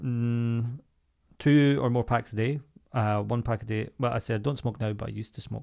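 The speaker is a man with an unremarkable speaking voice, medium pitch, fairly even intonation and a moderate pace. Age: 30s. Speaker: podcast co-host. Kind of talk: casual chat.

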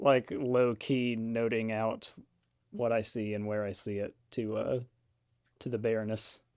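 Here a man has a normal speaking voice at medium pitch, with fairly even intonation and a fairly slow pace. The recording is very clean, the background silent. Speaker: regular player. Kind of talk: casual tabletop roleplaying game session.

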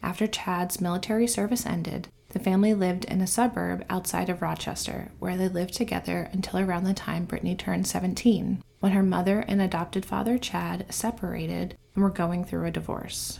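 Speaking at a fairly quick pace, a woman talks with hardly any pauses. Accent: American. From South Carolina coast (Myrtle Beach). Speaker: true crime podcaster. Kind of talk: scripted narration.

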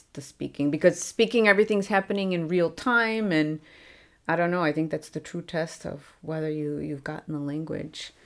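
A woman with an American accent at fairly low pitch and moderate pace, ordinary pitch variation, in a very clean recording with a silent background. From US Midwest, Chicago. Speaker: former English teacher, language learner. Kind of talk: interview, casual chat. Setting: studio.

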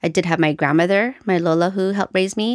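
On a very clean recording with a silent background, a woman with an unremarkable speaking voice talks at medium pitch with fairly even intonation. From Canada. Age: 40s. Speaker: occupational therapist and author. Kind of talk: casual interview.

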